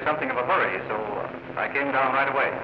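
Over noticeable background noise, a man talks in an American accent. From United States. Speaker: visitor in a scripted scene. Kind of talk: scripted film dialogue. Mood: friendly, smiling. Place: office.

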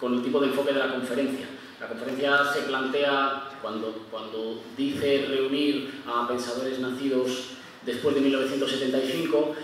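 Over light background noise and strong room echo, a man talks at a fairly slow pace with monotone, flat intonation. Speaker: conference panelist. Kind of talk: lecture. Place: stage.

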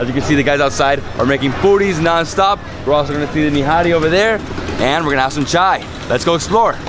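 Music plays behind a man who talks at a very fast pace with ordinary pitch variation. The sound is dry, with no echo. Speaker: food travel host. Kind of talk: casual vlog chat. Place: street. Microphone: phone near.

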